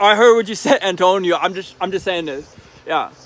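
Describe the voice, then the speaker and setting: A man talks at a very fast pace in a high pitch with ordinary pitch variation. Noticeable background noise runs underneath. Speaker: video blogger with schizophrenia. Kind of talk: casual chat. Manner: halting, repeats words.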